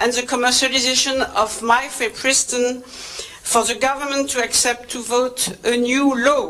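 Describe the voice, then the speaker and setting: A woman with a French accent talks at a very slow pace in a high pitch. Noticeable background noise runs behind her. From France. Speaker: reproductive health trainer. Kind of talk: conference presentation. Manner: hesitant, many fillers.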